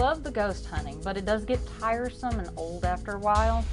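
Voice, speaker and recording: This woman talks at a fairly quick pace while music plays in the background. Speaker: haunted house performer. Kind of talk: reality TV interview.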